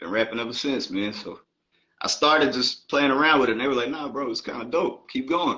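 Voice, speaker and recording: Speaking with an American accent, a man uses a bright, sharp tone at medium pitch, a fairly quick pace, and ordinary pitch variation. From Baltimore, Maryland, then Atlanta from age 14. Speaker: rapper. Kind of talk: interview.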